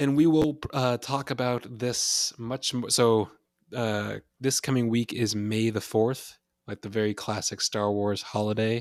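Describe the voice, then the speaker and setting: A man with a normal speaking voice at a medium pitch, fairly slow in pace, with fairly even intonation. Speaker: podcast co-host. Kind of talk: casual chat.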